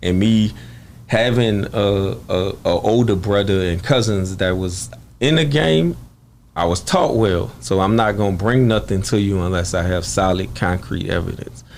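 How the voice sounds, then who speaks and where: With a Louisiana accent, a man speaks at a moderate pace and a fairly low pitch with lively intonation, amid audible room echo. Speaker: murder victim's brother. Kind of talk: interview.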